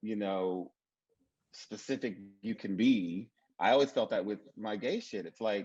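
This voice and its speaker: A man's fairly low pitch, with fairly even intonation and long, frequent pauses. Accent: Mississippi. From Mississippi. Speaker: TV writer. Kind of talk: panel discussion.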